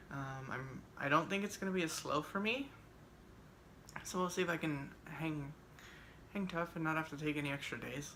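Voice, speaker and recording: With audible room echo, a woman speaks at a moderate pace in a very deep, low voice, leaving long, frequent pauses. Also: ordinary pitch variation. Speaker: vlogger. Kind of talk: casual vlog. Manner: hesitant, many fillers.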